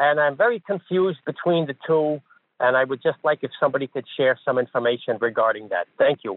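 With an American accent, the speaker uses a normal speaking voice, lively intonation and a fairly quick pace. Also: man, fairly high pitch for a man. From Wisconsin. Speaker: caller. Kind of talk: phone call. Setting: phone call.

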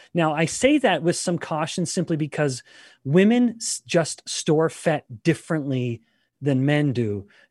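The sound is dry and close, with no echo, and the voice is a normal speaking voice. It moves at a fairly slow pace with lively intonation. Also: man, fairly high pitch for a man, very clean recording, silent background. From Canada. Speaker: scientist and professor. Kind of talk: interview.

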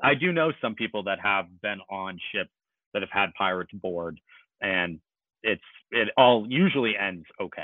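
A man with an American accent uses a plain, everyday voice at a moderate pace. His pitch is fairly low, with ordinary variation. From US Northeast, Maine (Kennebunkport). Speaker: merchant marine officer. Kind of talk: casual interview.

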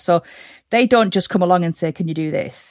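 Against a quiet background, a woman's voice has a dry, close sound with no echo. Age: 40s. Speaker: virtual and social media assistant. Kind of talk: interview, casual chat. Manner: energetic.

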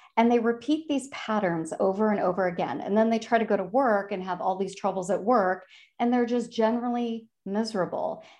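A woman with a Chicago accent, fairly high in pitch with ordinary pitch variation, fairly quick with hardly any pauses, over a quiet background. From Chicago, US Midwest. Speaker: career advisor and author. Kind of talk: casual interview chat.

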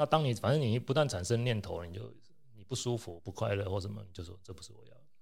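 Very fast, lively speech with vocal fry and big swings in loudness. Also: man, fairly low pitch for a man. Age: middle-aged. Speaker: anesthesiologist. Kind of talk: casual chat.

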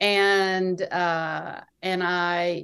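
A woman with an American accent speaks at a fairly low pitch with ordinary pitch variation over a quiet background. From US South. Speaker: novelist. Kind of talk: interview. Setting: at home by the water.

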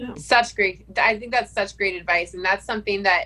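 This woman has an ordinary speaking voice, pitched in the medium range, with ordinary pitch variation. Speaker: podcast co-host. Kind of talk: casual chat. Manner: excitable.

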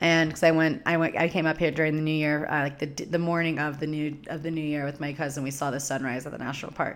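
A woman's very deep, low voice in a Californian accent, very fast with hardly any pauses and a monotone, flat intonation. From US West Coast (Southern California desert). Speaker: podcast host and spiritual teacher. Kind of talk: solo monologue, casual storytelling. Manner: casual, filler-heavy with laughs.

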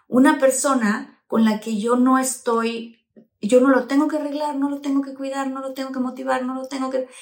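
A woman speaks in an animated tone with a high pitch. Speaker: podcast host and actress. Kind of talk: casual interview chat.

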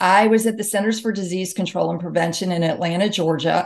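A woman speaks at a medium pitch with fairly even intonation. She has an ordinary speaking voice. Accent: American. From US South, Mississippi. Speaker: author and health expert. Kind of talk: interview.

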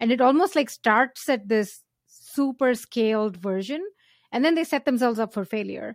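With lively intonation and a fairly high pitch, a woman talks at a moderate pace in a dry, close sound with no echo. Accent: Indian. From India. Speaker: startup founder and angel investor. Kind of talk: casual interview.

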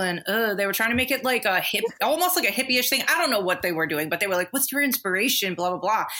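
Using a normal speaking voice, a woman talks with a fairly high pitch and lively intonation. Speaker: cosmetic tattooer guest. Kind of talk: casual chat podcast.

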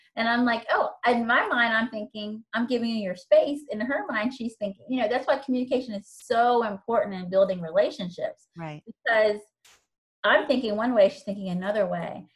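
In a normal speaking voice, the speaker talks at a fairly quick pace with ordinary pitch variation. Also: woman, fairly high pitch for a woman. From Virginia. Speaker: instructional coach. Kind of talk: casual chat.

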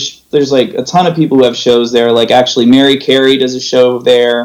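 With a Californian accent, a man speaks at a medium pitch. His pitch varies in an ordinary way. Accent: Californian American. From US West Coast, San Jose, California. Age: 30s. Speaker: podcast host in recovery. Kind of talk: casual chat. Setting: video call.

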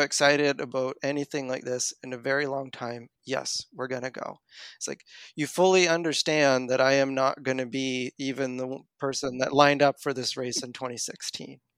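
A man speaks with a Maritime Canadian accent at a fairly high pitch. The recording is very clean and dry, close, with no echo and a silent background. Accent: Canadian (Maritimes). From Canada, Nova Scotia. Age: 30s. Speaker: running coach and engineer. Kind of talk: interview conversation.

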